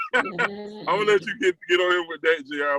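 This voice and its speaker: A man in a Southern US accent, high-pitched, with a bright, sharp tone and a dry, close sound with no echo. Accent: Southern accent, still noticeable. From US South, South Carolina (Florence). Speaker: guest on a music podcast, music fan. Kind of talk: casual chat. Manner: relaxed, conversational.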